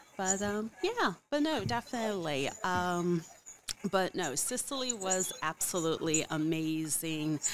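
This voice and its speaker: In a plain, everyday voice, a woman talks at a fairly slow pace with lively intonation and a medium pitch. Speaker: podcast host. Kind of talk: casual interview chat. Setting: video call.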